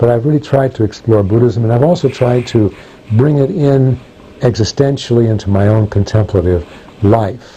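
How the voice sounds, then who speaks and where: Medium pitch from a man, at a moderate pace, with ordinary pitch variation and very even loudness. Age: 60s. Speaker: professor of religion. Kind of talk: interview answering prepared questions. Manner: halting with many fillers.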